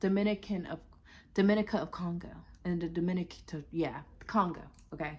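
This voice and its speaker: An animated, somewhat breathy woman with fairly low pitch, a fairly quick pace, long, frequent pauses and big swings in loudness. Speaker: vlogger. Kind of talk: casual vlog monologue.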